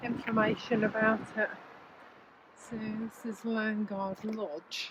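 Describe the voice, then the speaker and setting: Noticeable background noise runs under speech that goes very slowly. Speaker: walking tour vlogger. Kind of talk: guided walk narration. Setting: outdoors, walking along the beach.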